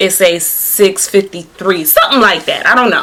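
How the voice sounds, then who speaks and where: This woman's voice sits at a medium pitch. Her tone is animated. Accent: American. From New Jersey. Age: 20s. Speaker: beauty and fashion vlogger. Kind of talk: casual vlog storytelling.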